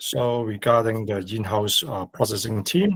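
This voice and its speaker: Speaking with a Cantonese accent, a man keeps a medium pitch with ordinary variation. His pace is fairly slow. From Hong Kong. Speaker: loan officer asking questions. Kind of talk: webinar Q&A.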